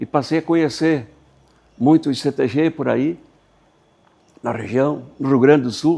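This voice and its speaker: Dark and mellow in tone, a man's fairly high voice moves at a fairly slow pace with fairly even intonation and long, frequent pauses. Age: 80s+. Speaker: retired truck driver. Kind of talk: documentary interview.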